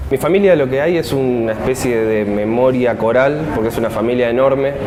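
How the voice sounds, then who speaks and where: A man at medium pitch with ordinary pitch variation, speaking at a fairly quick pace amid audible room echo and noticeable background noise. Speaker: grandchild of disappeared, human rights testimony. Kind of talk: testimony.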